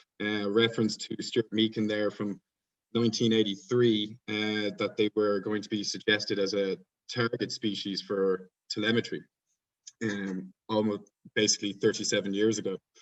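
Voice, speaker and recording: Dry and close with no echo, the recording captures a man with an Irish accent speaking at a fairly low pitch in a monotone, flat intonation. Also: moderate pace. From Ireland. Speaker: PhD researcher presenting at conference. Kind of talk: conference presentation. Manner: hesitant, many fillers.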